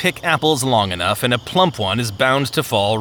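Reading in a natural voice, the speaker uses lively intonation.

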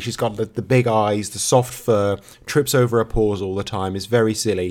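A man's unremarkable speaking voice, medium in pitch, fairly quick, with fairly even intonation. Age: 30s. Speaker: podcast co-host. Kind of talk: casual chat.

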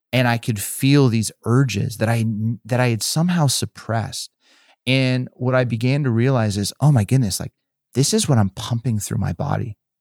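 At a moderate pace, a man with an ordinary speaking voice talks at a medium pitch with ordinary pitch variation, the sound dry and close with no echo. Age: 40s. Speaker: pastor. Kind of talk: casual chat.

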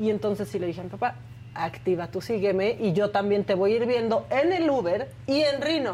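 The voice has a dark, mellow tone with vocal fry and very wide pitch swings. It moves at a fairly quick pace with very even loudness. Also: woman, medium pitch for a woman. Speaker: co-host. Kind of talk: casual chat.

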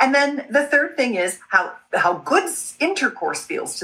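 A woman speaks at a moderate pace in a bright, sharp tone, her pitch swinging very widely. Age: 60s. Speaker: sex educator and entrepreneur. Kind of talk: podcast interview.

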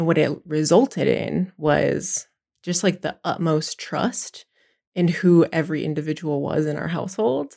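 A woman speaks with a very deep, low pitch, a dark, mellow tone and some vocal fry. Her pitch varies in an ordinary way, and the recording is very clean with a silent background. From Pine Ridge Reservation, South Dakota. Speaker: education program leader. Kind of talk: conversational interview.

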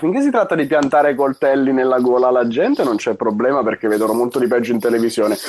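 A man talking at a very fast pace, his pitch fairly high. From Italy, Monza (Lombardy). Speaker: video game shop worker. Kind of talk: casual chat.

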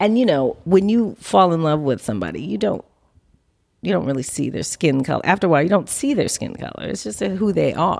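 Using an American accent, a woman with a fairly low pitch and vocal fry talks at a fairly quick pace, her pitch swinging very widely. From Los Angeles, US, of New Orleans Creole family. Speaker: film producer. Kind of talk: interview conversation. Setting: in her home.

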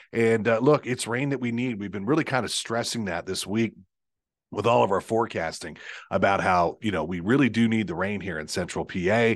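A man speaks in an ordinary speaking voice at a fairly quick pace. His pitch is fairly low, with ordinary pitch variation. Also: quiet background. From Pennsylvania, Lancaster County. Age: 50s. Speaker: TV meteorologist, podcast host. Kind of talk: casual chat. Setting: studio, sharing a microphone.

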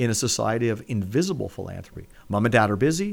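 Using an ordinary speaking voice, a man with a Canadian accent talks at a medium pitch and a fairly quick pace with lively intonation. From Hamilton, Ontario, Canada. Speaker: nonprofit executive. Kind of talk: interview.

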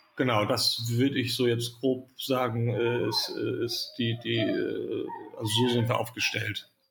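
A man talks at a very slow pace with hardly any pauses. His loudness stays very even. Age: 30s. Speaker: founder and managing director of a youth welfare nonprofit.

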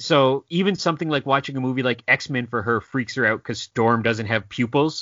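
Speaking in a normal speaking voice, a man keeps a medium pitch and ordinary pitch variation at a moderate pace with hardly any pauses. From Canada. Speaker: comic book writer. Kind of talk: casual interview.

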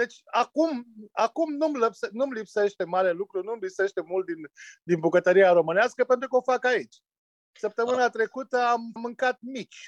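A man speaks at a moderate pace in an extremely high pitch, his intonation lively against a quiet background. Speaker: winemaker. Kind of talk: interview. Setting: remote call.

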